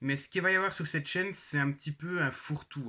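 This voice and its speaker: In a very clean recording with a silent background, a man speaks at a fairly quick pace in a bright, sharp tone with fairly even intonation. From Switzerland, canton of Jura. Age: 20s. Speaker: YouTuber. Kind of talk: channel introduction vlog. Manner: hesitant, many fillers.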